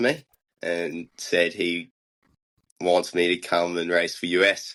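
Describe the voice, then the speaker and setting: Against a quiet background, a man with a New Zealand accent speaks very slowly in a very deep, low pitch. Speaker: biathlete. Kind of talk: interview.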